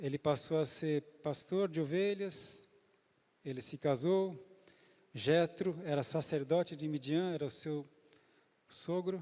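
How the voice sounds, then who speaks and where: With long, frequent pauses, a man speaks very slowly at a fairly high pitch and ordinary pitch variation. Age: 60s. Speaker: pastor. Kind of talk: sermon. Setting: church.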